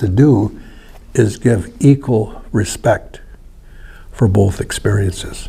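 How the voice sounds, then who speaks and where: Amid noticeable background noise, a man at a medium pitch speaks at a very slow pace with ordinary pitch variation. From northern Wisconsin, Ojibwe community. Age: 70s. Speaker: seminary student. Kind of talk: presentation. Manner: halting.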